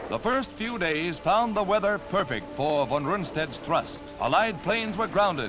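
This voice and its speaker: A man's high-pitched voice with lively intonation, music playing in the background. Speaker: newsreel narrator. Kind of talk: wartime newsreel narration.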